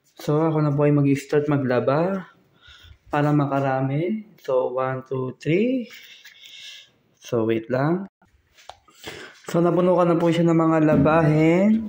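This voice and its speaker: Soft-spoken delivery at a very slow pace, with long, frequent pauses and ordinary pitch variation. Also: man, fairly high pitch for a man. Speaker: vlogger. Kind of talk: vlog walkthrough. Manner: soft-spoken, quiet.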